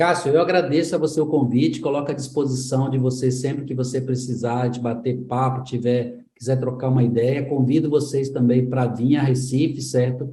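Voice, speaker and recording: With a Pernambuco accent, a man speaks at a moderate pace in a medium pitch, his dark, mellow, somewhat breathy voice held in a monotone, flat intonation. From São Paulo, Brazil. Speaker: tech school executive director. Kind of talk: interview.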